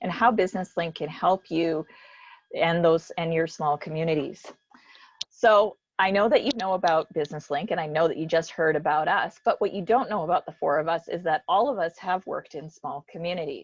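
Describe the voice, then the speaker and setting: A woman with an unremarkable speaking voice and a Canadian accent, fairly low in pitch, at a fairly quick pace, with ordinary pitch variation. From Canada, Alberta (Spruce Grove). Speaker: business support organization executive. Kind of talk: panel discussion moderation.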